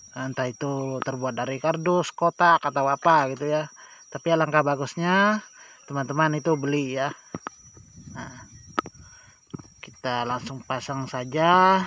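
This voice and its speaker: A man speaks at a fairly slow pace with long, frequent pauses. His voice is fairly high, with a bright, sharp tone and ordinary pitch variation. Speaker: chainsaw repair hobbyist YouTuber. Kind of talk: tutorial. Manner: casual, halting with false starts.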